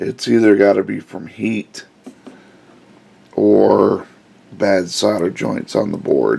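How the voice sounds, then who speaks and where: Noticeable background noise fills the recording. Over it, a man speaks very slowly. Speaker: car audio reviewer. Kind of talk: tutorial. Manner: casual, hesitant.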